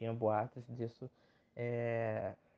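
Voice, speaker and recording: The tone of this man's voice is dark and mellow. Everything sounds dry and close, without any echo. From Rio de Janeiro, Brazil. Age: 20s. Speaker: podcaster. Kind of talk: casual solo podcast monologue. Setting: home recording. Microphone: phone mic.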